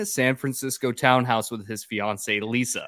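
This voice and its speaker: Very clean recording, silent background. A man with a normal speaking voice talks at a moderate pace and medium pitch. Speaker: podcast host. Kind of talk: casual comedic podcast banter.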